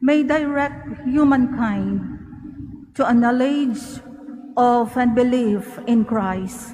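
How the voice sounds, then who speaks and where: Over noticeable background noise, a woman with a high pitch speaks at a very slow pace with fairly even intonation. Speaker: lector at mass. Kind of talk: scripture reading. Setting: church.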